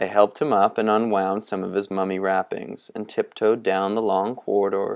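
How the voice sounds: The speaker uses a natural reading voice.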